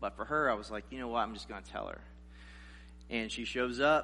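A man with an American accent is heard with audible room echo. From South Carolina, US South. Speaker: guest preacher. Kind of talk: sermon.

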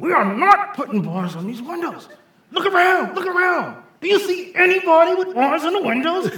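A quiet man in a put-on character voice, extremely high-pitched for a man. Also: moderate pace. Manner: fierce but quiet.

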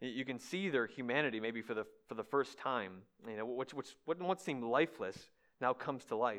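At a fairly quick pace, a man with a normal speaking voice talks at medium pitch with ordinary pitch variation against a quiet background. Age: 30s. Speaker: guest preacher. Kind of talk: sermon. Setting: church.

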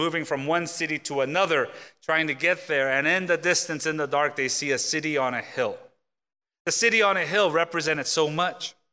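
Recorded very cleanly against a silent background, a man with an American accent speaks in a fairly high pitch with a bright, sharp tone. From South Korea, then US. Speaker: pastor. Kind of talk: sermon. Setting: church.

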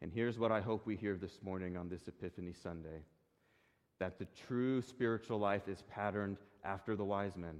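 A man talks at a fairly quick pace, his pitch fairly low. He has a plain, everyday voice. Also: fairly even intonation. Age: 20s. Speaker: pastor. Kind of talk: sermon.

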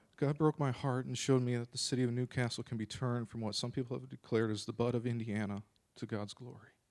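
A medium-pitched man with an American accent, very fast pace and fairly even intonation, on a very clean recording with a silent background. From Minnesota. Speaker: church member. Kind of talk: testimony.

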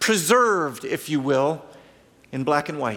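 The intonation moves in a lively way. A man keeps to a moderate pace as he talks. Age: 50s. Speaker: pastor. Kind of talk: sermon.

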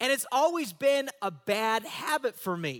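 A man raises and projects an extremely high voice with a bright, sharp tone and lively intonation at a fairly slow pace. The recording is very clean, with a silent background and a dry, close sound with no echo. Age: 40s. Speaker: pastor. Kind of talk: sermon. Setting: church. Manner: animated.

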